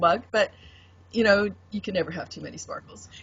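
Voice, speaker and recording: A woman speaks with a Canadian accent. Noticeable background noise is present. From Canada, Vancouver. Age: 60s. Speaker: tarot deck artist. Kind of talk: interview.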